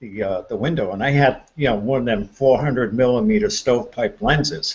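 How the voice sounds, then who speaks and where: A man with a medium pitch sounds somewhat breathy as his voice makes very wide pitch swings. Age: 60s. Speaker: paranormal enthusiast. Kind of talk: casual chat. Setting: live stream hangout.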